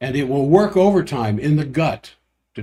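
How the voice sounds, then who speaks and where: Somewhat breathy and dark and mellow in tone, a man's fairly high voice rises and falls with lively intonation. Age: 70s. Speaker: doctor hosting a health livestream. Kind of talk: health talk livestream monologue. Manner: casual, with self-corrections and fillers.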